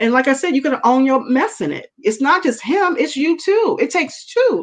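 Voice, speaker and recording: A woman speaks loudly in an animated tone, with a high pitch and very wide pitch swings. Her pace is fairly quick over a quiet background. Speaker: women's network leader, talk show guest. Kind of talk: casual talk show conversation.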